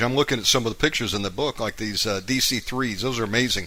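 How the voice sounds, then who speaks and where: A man speaks fairly quickly with an American accent. His tone is bright and sharp, with ordinary pitch variation. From US South, Georgia. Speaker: radio show host. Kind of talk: interview. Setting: live internet radio show.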